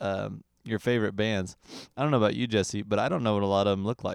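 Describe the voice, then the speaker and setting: On a very clean, dry recording with a silent background and a close sound with no echo, a man with a fairly low pitch talks at a fairly quick pace in an ordinary speaking voice. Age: 20s. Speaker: podcast host and musician. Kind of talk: casual chat.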